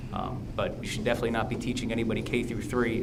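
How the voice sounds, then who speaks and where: Recorded with audible room echo and noticeable background noise, a man with an American accent speaks at a medium pitch and a very fast pace. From US Midwest (northeast Ohio). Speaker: school board candidate. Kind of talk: candidate forum answers.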